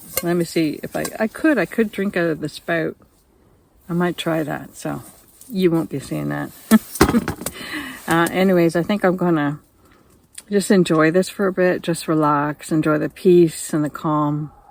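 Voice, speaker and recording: A woman with a fairly low pitch talks at a moderate pace, her intonation fairly even, with long, frequent pauses. Noticeable background noise runs beneath her. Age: 70s. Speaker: senior camper. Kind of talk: casual talk to camera.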